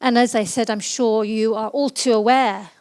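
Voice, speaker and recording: This is an unremarkable speaking voice at a fairly slow pace. The recording is very clean and silent in the background, dry and close with no echo. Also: woman. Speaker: learning consultant. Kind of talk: conference talk.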